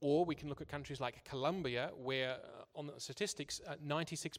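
A man talks at a moderate pace. His voice is fairly high in pitch. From Australia. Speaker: church interpreter. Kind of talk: consecutive interpreting of a talk. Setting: church service. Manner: halting, with repetitions.

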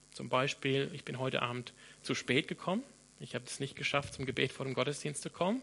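Fairly high in pitch and bright, sharp in tone, a man speaks at a fairly quick pace with big swings in loudness. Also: ordinary pitch variation. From Australia, Sydney. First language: English (speaking German). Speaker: pastor. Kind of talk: sermon.

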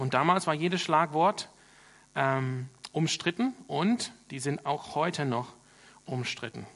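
Speaking at a very slow pace, a man uses a fairly high voice with ordinary pitch variation and long, frequent pauses. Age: 30s. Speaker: pastor. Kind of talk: sermon. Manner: hesitant with filler sounds.

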